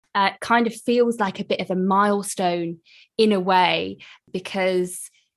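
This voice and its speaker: A British accent on a very clean recording with a silent background. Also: woman. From UK. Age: young. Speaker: podcast host. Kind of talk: interview.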